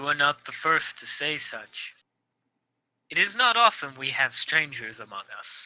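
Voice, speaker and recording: A resonant, put-on character voice at a moderate pace. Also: man, fairly high pitch for a man. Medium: actual play. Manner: formal, courtly.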